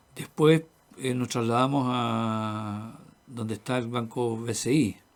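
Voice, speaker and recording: A man with a medium pitch talks very slowly, his intonation fairly even. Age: 70s. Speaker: interviewee, earthquake witness. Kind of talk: radio interview. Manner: halting.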